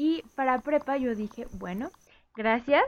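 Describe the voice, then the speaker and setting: A woman's high voice rises and falls with lively intonation in a dry, close sound with no echo. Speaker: podcast co-host. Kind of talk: casual chat.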